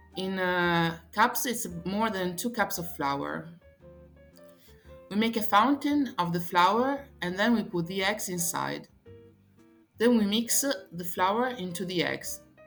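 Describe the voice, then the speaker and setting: Over background music, a woman speaks very slowly at a medium pitch with ordinary pitch variation and long, frequent pauses. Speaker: tour guide and cooking presenter. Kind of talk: cooking tutorial.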